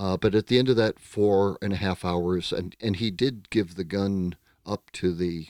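A man with an American accent and a normal speaking voice, fairly low in pitch, at a moderate pace with fairly even intonation, in a very clean, silent recording with a dry, close sound and no echo. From United States. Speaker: psychotherapist. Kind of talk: casual interview.

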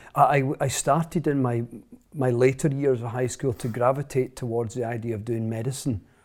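On a very clean recording with a silent background, a man with a Scottish accent talks at a fairly quick pace, medium pitch and fairly even intonation. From central Scotland. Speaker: author and speaker. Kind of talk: interview conversation.

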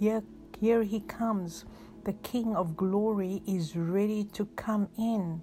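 Over music in the background, a woman talks at a very slow pace in a calm, soothing tone with fairly even intonation. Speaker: pastor. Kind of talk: guided prayer with breathing exercise. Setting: recorded message for listeners at home or in hospital. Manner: slow, calm, soothing; reassuring, pastoral, rhythmic counting.

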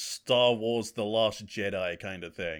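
A man speaks at a very slow pace with a bright, sharp tone on a very clean recording with a silent background. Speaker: podcast co-host. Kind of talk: casual chat.

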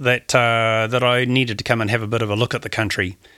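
A man with a New Zealand accent speaks in a bright, sharp tone on a very clean recording with a silent background. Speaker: adventurer and skydiver. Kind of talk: casual interview. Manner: halting, many fillers.

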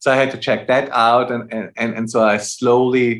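Speaking in a German accent, a man delivers his words at a fairly slow pace with monotone, flat intonation. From Austria. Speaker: jazz musician. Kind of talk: casual chat.

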